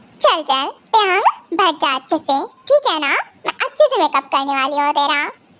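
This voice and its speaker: Delivered at a fairly quick pace, this put-on character voice has lively intonation. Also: woman, high pitch for a woman. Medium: fan dub. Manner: bossy, teasing.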